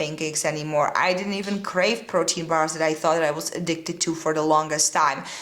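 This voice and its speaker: Over noticeable background noise, a woman speaks with a Czech accent and fairly even intonation. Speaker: fitness and nutrition coach, podcast host. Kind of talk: solo podcast monologue. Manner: casual, with frequent fillers.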